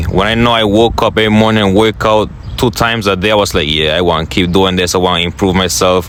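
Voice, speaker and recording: A man's fairly low voice with a non-native accent, fairly quick, over noticeable background noise. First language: not English. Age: young. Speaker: motivational content creator. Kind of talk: interview.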